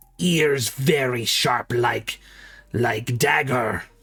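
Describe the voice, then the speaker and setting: A raspy, put-on character voice plays over faint music in the background. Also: man. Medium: actual play. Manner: halting broken speech, stutters on name.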